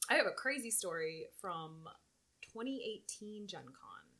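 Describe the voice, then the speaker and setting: Here a woman speaks with lively intonation. Her tone is bright and sharp. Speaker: convention coordinator for a gaming accessories company. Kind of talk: casual chat. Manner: animated; loud.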